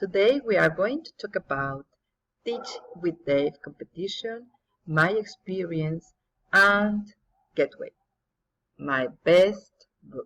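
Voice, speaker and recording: Speaking at a very slow pace with long, frequent pauses, a woman with a Spanish accent uses lively intonation at a medium pitch. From Mexico. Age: 50s. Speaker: English teacher. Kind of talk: recorded presentation.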